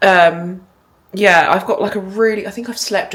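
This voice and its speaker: A woman with an English accent. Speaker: vlogger. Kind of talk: casual vlog chat. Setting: kitchen.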